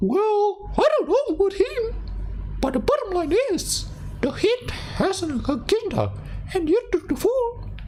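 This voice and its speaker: Over clear background noise, a squeaky, put-on character voice moves at a moderate pace with long, frequent pauses. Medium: virtual streamer. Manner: smug, streetwise.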